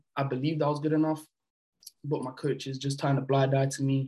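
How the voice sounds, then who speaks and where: Somewhat breathy, a man speaks at a fairly quick pace with a fairly high pitch. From France, moved to the UK at about 12. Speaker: basketball player. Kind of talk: casual interview.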